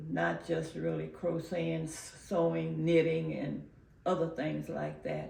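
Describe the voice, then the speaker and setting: A woman with a very deep, low voice speaks at a fairly slow pace, her pitch swinging very widely. Audible room echo is present. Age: 90s. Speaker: community elder interviewee. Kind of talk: oral history interview. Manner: halting, many filler pauses.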